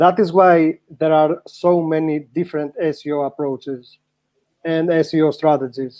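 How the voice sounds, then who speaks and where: With fairly even intonation, a man speaks at a fairly slow pace in a fairly high pitch. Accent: Greek. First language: Greek. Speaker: SEO practitioner, panel guest. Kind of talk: panel discussion. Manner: halting.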